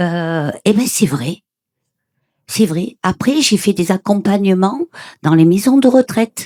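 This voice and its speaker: A woman speaks at a very slow pace with lively intonation, captured in a dry, close sound with no echo. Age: 70s. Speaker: audience member sharing near-death experience. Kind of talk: testimony. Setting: conference with audience. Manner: animated.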